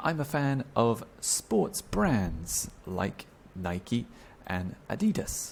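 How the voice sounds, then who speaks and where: A man with a British accent speaks at a very slow pace. His medium-pitched voice makes very wide pitch swings. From Britain. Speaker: English teacher. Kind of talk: tutorial. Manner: slow, clear enunciation with repetitions.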